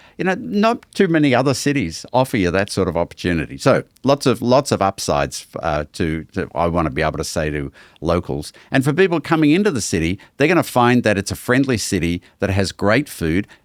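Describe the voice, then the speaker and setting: In an Australian accent, a man talks at a fairly quick pace with hardly any pauses, his fairly low pitch making very wide swings, on a very clean recording with a silent background and a dry, close sound with no echo. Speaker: museum president. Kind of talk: podcast interview.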